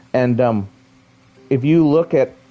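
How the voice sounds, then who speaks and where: A man's voice, medium in pitch, comes through with music playing behind it. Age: 30s. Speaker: video game streamer. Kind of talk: live gameplay stream chat. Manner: casual, halting with repetitions.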